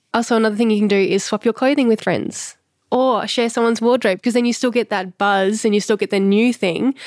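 In an Australian accent, a woman talks with fairly even intonation and very even loudness, in a very clean recording with a silent background and a dry, close sound with no echo. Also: fairly high pitch for a woman, fairly quick pace. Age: 30s. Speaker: slow fashion stylist. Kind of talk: interview conversation.

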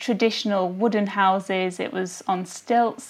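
A woman's ordinary speaking voice at a moderate pace, with ordinary pitch variation. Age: young. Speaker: lawyer and amateur travel photographer. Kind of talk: interview.

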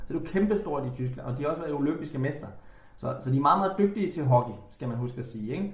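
Amid audible room echo and noticeable background noise, a man of medium pitch speaks with lively intonation. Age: 30s. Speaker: former floorball and hockey player. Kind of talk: casual interview chat.

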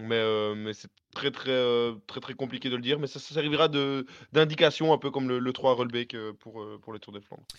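A man with a plain, everyday voice at a medium pitch, moderate pace, and fairly even intonation, against a quiet background. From Belgium. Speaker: cycling fan panelist. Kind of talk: casual chat.

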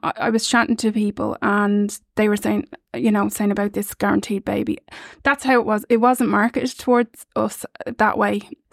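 Her sound dry and close with no echo, a woman speaks with an Irish accent at a moderate pace. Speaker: surrogacy parent. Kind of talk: casual chat. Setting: studio.

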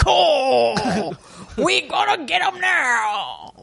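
Using a put-on character voice, this man pitches himself extremely high. His delivery is very slow. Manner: urgent, excited.

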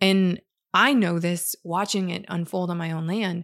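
A woman speaks at a fairly slow pace, her medium pitch held to fairly even intonation. The recording is very clean with a silent background and a dry, close sound free of echo. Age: 30s. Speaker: podcast host, gardening educator. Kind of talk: casual monologue.

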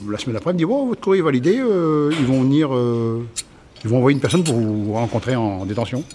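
A man's very fast speech at a medium pitch, full of very wide pitch swings, over noticeable background noise. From northern France, Somme. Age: 50s. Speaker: former farmer, ex-prisoner, farm supervisor. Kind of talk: testimony. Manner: halting, repeats words.

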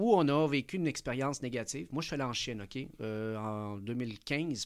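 A man speaks in a plain, everyday voice at a medium pitch with ordinary pitch variation, recorded very cleanly against a silent background. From Chile (Santiago), living in Quebec. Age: 40s. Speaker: entrepreneur, management consultant. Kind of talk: interview.

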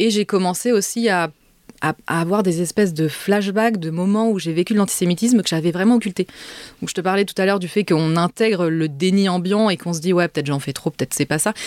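A woman at a very fast pace, the sound dry and close with no echo. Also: medium pitch for a woman, ordinary pitch variation. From Paris suburbs, France. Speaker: essayist and author. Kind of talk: interview. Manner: halting, repeats words.

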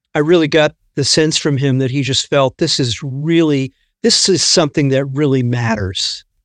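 An ordinary speaking voice from a man, fairly high in pitch, with ordinary pitch variation and a moderate pace, over a quiet background in a dry, close sound with no echo. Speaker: author and space historian. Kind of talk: interview tribute conversation.

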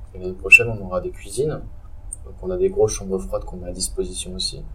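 A man talks very fast against noticeable background noise. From Strasbourg, Alsace, France. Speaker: urban farm entrepreneur. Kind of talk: casual interview. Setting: underground urban farm in a converted car park.

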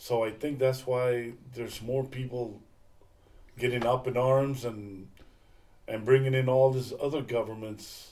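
In an American accent, a man speaks at a fairly slow pace with long, frequent pauses, a medium pitch, a dark, mellow tone and monotone, flat intonation, with audible room echo. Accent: South Texas Mexican American English. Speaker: father of the host, retiree sharing life stories. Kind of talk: casual chat.

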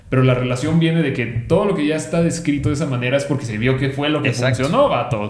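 Over noticeable background noise, a man with a fairly high pitch talks very fast with hardly any pauses and ordinary pitch variation. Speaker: doctor. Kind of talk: casual chat.

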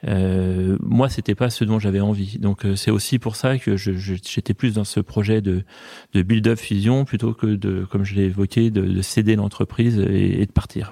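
A man speaks fairly slowly at a fairly low pitch, with a dark, mellow tone and fairly even intonation. The recording is very clean and silent in the background, with a dry, close sound and no echo. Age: 50s. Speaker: company founder. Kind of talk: interview.

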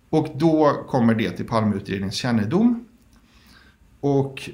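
Audible room echo carries a man's voice at a moderate pace with ordinary pitch variation. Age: 30s. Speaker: founder of a public document archive group. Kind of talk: interview.

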